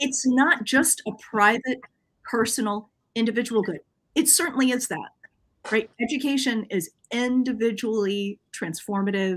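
A woman talks at a moderate pace. Her fairly high pitch shows ordinary variation. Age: 30s. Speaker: professor; guest professor. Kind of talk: casual chat. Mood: relaxed, friendly. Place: home room.

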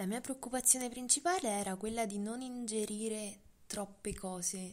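A woman's medium-pitched voice, a plain, everyday voice, with ordinary pitch variation at a moderate pace. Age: 20s. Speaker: eating disorder survivor. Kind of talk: interview testimony.

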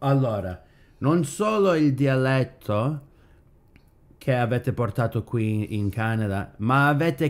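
This man talks at a very slow pace, his medium pitch moving with ordinary variation. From Canada. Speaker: podcast host. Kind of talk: casual podcast conversation. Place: kitchen. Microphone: studio mic.

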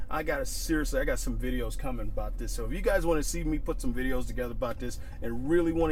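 A man at a very fast pace, with a dry sound with no echo and faint music in the background. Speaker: firearms instructor and YouTuber; firearms instructor, YouTuber. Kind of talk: angry rant to camera. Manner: angry, heated, emphatic; repetitive, stumbling, punchy. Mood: angry, indignant. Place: car.

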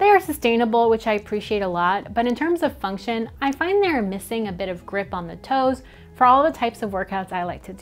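Faint music plays in the background as the voice moves at a fairly quick pace. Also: woman. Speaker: travel product reviewer. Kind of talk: product review commentary. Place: home room. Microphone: lapel.

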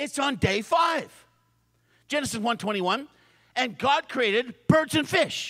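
A man uses a raised, projected voice with a bright, sharp tone and lively intonation. His pace is very slow, over a quiet background. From Canada. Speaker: preacher. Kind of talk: sermon. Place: hall. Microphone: handheld.

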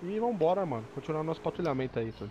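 The speaker is a man with a fairly high pitch. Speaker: gaming co-host. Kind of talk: gameplay commentary with roleplay. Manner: animated.

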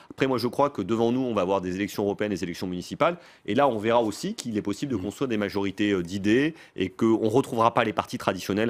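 A man talks at a very fast pace. His voice is fairly low, with ordinary pitch variation. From France. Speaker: former presidential communications adviser and author; interview guest. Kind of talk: political interview. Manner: quick, lively. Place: studio. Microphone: studio mic.

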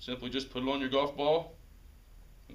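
This man speaks at a fairly quick pace in a fairly high pitch. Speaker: golf shop staff presenter. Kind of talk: mock infomercial pitch. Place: shop.

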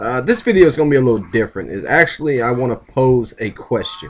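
A man with an American accent, medium pitch, big pitch swings and a fast pace. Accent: Southern US, Florida and Louisiana.

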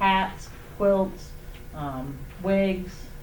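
Fairly low in pitch, a woman's voice is heard. The room echoes audibly, and background noise is clearly present. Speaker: oncology social worker. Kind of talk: public meeting presentation.

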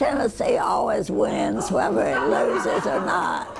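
Her delivery is very slow. Behind the woman, background noise is noticeable. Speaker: elderly alumna. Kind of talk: interview answer. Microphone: lapel.

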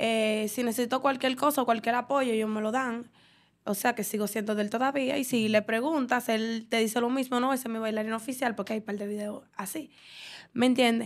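Fairly high in pitch, a woman keeps a fairly quick pace and fairly even intonation. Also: quiet background. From Dominican Republic. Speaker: dancer; podcast guest. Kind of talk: casual interview. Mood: relaxed, chatty. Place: studio. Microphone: studio mic.

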